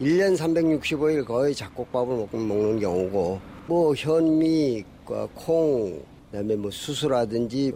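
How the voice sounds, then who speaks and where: A man speaks at a medium pitch and a very slow pace. His intonation is lively. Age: 70s. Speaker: retired taekwondo instructor, interviewee. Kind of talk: recorded interview.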